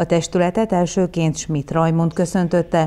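A woman with a fairly low pitch and a dark, mellow tone speaks at a fairly slow pace. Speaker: news reporter. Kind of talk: news reading.

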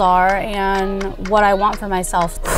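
Light background noise behind a woman's dry, echo-free voice. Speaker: fitness vlogger. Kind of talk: casual vlog chat. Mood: candid, reflective about struggles. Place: car. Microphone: lapel.

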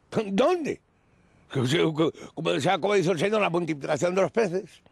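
The sound is dry with no echo and the background is quiet as a man talks with very wide pitch swings. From Spain. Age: 60s. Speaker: retired pensioner living in a squatted warehouse; interviewee. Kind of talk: news interview testimony. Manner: halting, repetitive. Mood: aggrieved, pleading. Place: open country. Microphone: handheld.

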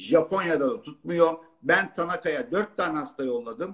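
Against a quiet background, a man talks at a high pitch and a moderate pace. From Turkey, Zonguldak; Turkey. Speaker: urologist; guest. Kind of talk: live-stream Q&A chat. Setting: live video stream. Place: home room. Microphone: video call.

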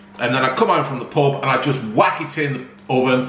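Light background noise and audible room echo behind a man's moderate pace. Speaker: home cooking vlogger. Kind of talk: casual vlog chat. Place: home room. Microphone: phone near.

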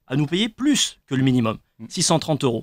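A man speaks with a fairly high pitch. His pitch swings very widely over a quiet background. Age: 20s. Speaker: trainee lawyer; radio guest. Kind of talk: radio panel discussion. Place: studio. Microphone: studio mic.

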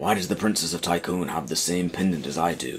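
A man performs a put-on character voice. It sits very deep and low, and he talks at a fairly quick pace. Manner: animated, toned down.

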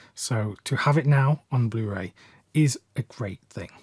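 A man with a British accent, a dark, mellow tone and a somewhat breathy voice, ordinary pitch variation, dry sound with no echo, quiet background. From UK. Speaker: film collector and video creator. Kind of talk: video essay/review monologue. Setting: YouTube video, solo. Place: home room.

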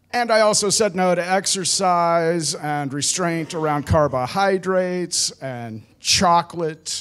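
Over faint music in the background, a man with a high pitch talks at a fairly slow pace with hardly any pauses, using an animated tone and ordinary pitch variation. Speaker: veteran stand-up comic; stand-up comedian. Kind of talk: stand-up comedy. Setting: stage with audience. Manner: animated, laughing at own punchlines. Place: stage. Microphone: handheld.

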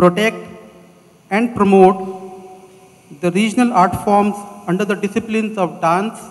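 This man's voice has a high pitch and monotone, flat intonation. He talks at a fairly slow pace. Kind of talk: formal speech. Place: stage. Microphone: handheld.

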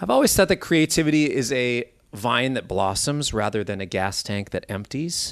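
This is a normal speaking voice with lively intonation at a moderate pace. The background is quiet. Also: man, medium pitch for a man. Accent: American. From US Midwest, Minneapolis. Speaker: guitarist and bandleader. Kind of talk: interview.

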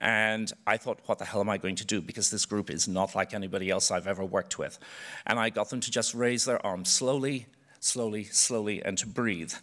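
In an Irish accent, a man talks at a fairly quick pace with a fairly low pitch. His intonation is fairly even, and the background is quiet. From Ireland. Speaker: choreographer. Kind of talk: panel talk. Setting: stage with audience. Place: stage. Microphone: podium.

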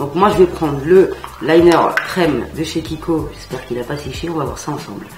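Speech comes at a moderate pace, with audible room echo and faint music in the background. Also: woman. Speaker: beauty vlogger. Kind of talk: makeup tutorial chat. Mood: playful, enthusiastic. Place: home room.

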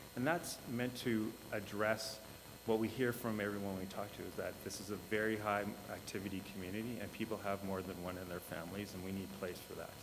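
Amid noticeable background noise and audible room echo, a man speaks fairly quickly in a fairly low voice with fairly even intonation. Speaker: housing development consultant. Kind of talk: presentation to council. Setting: council meeting. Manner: fast; halting.

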